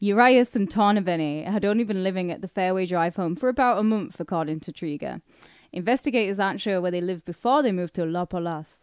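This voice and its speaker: Over a quiet background, a woman with a northern English accent and medium pitch talks at a very fast pace. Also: ordinary pitch variation, dry, close sound with no echo. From northern England. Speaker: podcast co-host. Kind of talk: casual chat.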